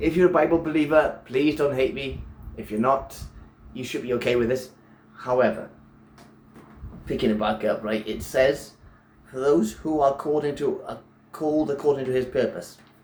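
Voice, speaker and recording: A somewhat breathy man speaks at a fairly high pitch with ordinary pitch variation. Long pauses come often in his speech. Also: moderate pace. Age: 40s. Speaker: personal trainer and nutrition coach; preacher / lay sermon giver. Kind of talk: sermon / religious teaching to camera.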